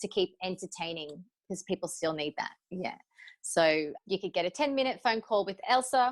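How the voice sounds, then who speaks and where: In an Australian accent, a woman with a medium pitch and lively intonation talks at a moderate pace, the sound dry and close with no echo. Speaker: cabaret performer. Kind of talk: interview answer.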